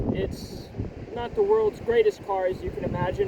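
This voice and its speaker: A man speaks at a moderate pace with an American accent. There is audible room echo and noticeable background noise. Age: 20s. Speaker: vlogger. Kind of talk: casual vlog monologue. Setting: outdoors by the ocean. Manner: halting, self-described stuttering. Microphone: far from the mic, may be quiet.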